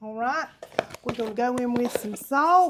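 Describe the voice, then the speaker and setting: Loud and fairly slow, a woman with a Southern US accent speaks in a high pitch with ordinary pitch variation. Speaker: home cooking video host. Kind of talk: cooking tutorial. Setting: home kitchen. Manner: casual, chatty.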